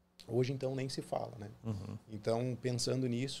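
A man's voice has a medium pitch and a dark, mellow tone. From southern Brazil (Paraná, born Porto Alegre). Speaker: dentist. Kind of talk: interview.

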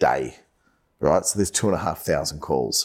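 Vocal fry runs through a man's voice, which has ordinary pitch variation on a very clean recording with a silent background. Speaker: sales podcast host. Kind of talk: casual chat. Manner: fast.

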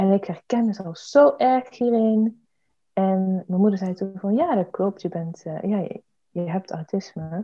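Somewhat breathy, a woman talks fairly slowly at a medium pitch with ordinary pitch variation. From Eindhoven, North Brabant, Netherlands. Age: 20s. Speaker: parliamentary candidate and activist. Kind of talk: interview. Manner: hesitant, many fillers.

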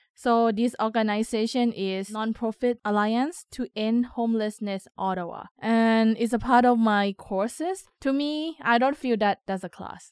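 A woman's fairly high voice with a Thai accent, fairly slow yet with hardly any pauses, in a very clean recording over a silent background. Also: ordinary pitch variation, dry, close sound with no echo. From Thailand. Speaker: community radio coordinator. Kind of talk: interview testimony.

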